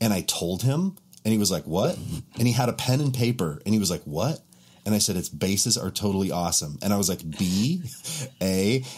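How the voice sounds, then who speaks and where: This man has a plain, everyday voice with a fairly low pitch. His intonation is lively. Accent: American. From Montana, US. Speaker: bass player and content creator. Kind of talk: casual chat. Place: home room.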